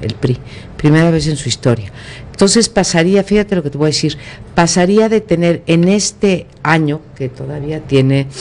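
A woman's very deep, low voice with lively intonation at a moderate pace. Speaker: political analyst commentator. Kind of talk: commentary. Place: studio. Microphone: studio mic.

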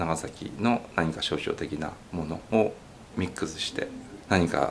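A man speaks at a very slow pace in a very deep, low voice. Noticeable background noise sits behind him. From Nagasaki, Japan. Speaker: sculptor. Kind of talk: interview.

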